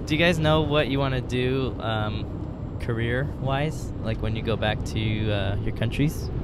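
Loud background noise surrounds a man talking at a fairly slow pace. He hardly pauses at all. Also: ordinary pitch variation, dry sound with no echo. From California. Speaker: podcast co-host. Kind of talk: casual chat. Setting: in a car. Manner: animated. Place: car. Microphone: handheld.

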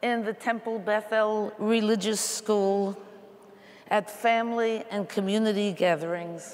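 At a fairly slow pace, the speaker uses monotone, flat intonation with an American accent. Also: woman, fairly high pitch for a woman. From US Northeast (Queens, New York); New York. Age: 80s+. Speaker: panelist at religious assembly; panelist. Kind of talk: personal testimony. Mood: earnest, reflective. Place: hall.

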